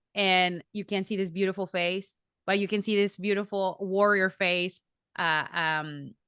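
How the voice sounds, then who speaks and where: Against a quiet background, a woman with a medium pitch and a bright, sharp tone speaks fairly slowly in a flat monotone, the sound dry and close with no echo. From Mexico. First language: Spanish. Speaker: professional wrestler. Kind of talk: interview.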